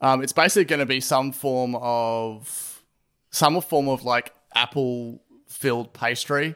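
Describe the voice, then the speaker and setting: A man with an Australian accent at medium pitch, fairly slow and fairly even in intonation, on a very clean recording with a silent background. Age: 30s. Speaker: podcast host and drummer, designer. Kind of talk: casual chat.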